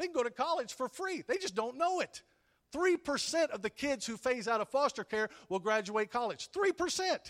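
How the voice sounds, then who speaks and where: A man in a Texan accent speaks at a fairly quick pace. His pitch swings very widely, and the sound is dry and close with no echo. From Texas (Whitney, then Pampa in the Panhandle). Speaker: pastor. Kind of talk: sermon. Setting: church.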